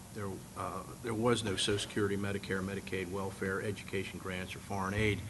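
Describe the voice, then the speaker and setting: The man's fairly low voice moves at a fairly quick pace, with audible room echo around it. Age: 60s. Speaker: congressional candidate. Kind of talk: candidates forum answer. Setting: meeting hall with audience.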